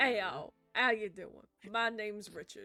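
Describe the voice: A man puts on a character voice with a Southern US accent, raised and projected, high-pitched and strained. He keeps a moderate pace and ordinary pitch variation while music plays in the background. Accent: Southern American.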